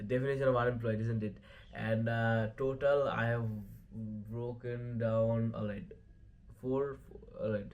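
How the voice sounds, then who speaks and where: A man's monotone, flat delivery at a fairly slow pace, with long, frequent pauses and audible room echo. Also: medium pitch for a man. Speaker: MMA commentary YouTuber. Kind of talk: casual fight recap vlog. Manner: halting, many fillers and stutters.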